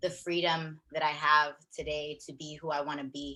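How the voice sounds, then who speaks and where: A woman with a Southern California accent speaks loudly in a very deep, low voice. Her tone is bubbly, bright and sharp. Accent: Southern California American English. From US West Coast, Long Beach, California. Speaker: wellness coach. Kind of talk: personal story interview. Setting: video call. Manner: loud and bubbly; animated.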